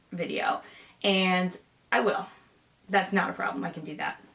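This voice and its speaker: A woman speaks at a medium pitch in an American accent. Noticeable background noise sits under her voice. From Michigan. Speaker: sewing vlogger and fighter jet mechanic. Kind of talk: casual Q&A vlog.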